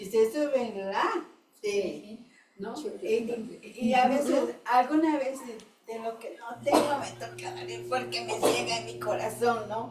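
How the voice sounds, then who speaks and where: The woman speaks at a very slow pace. Room echo is audible. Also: big swings in loudness. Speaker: Bible study participant. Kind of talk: group Bible study discussion.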